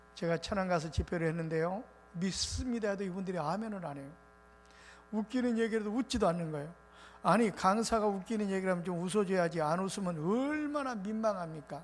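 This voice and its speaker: A high-pitched man with ordinary pitch variation speaks at a very fast pace amid audible room echo. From South Korea, Muan (South Jeolla). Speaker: revival preacher. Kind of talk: sermon.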